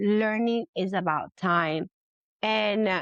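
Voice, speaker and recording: A woman with a Spanish accent and medium pitch is heard in a dry, close sound with no echo against a quiet background. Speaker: labor and delivery nurse. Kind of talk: interview. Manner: halting.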